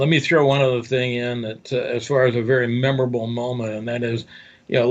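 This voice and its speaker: A man speaks at a medium pitch. His delivery is fairly even and moderately paced. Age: 60s. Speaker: newspaper owner and affiliate marketer. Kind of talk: interview. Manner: halting.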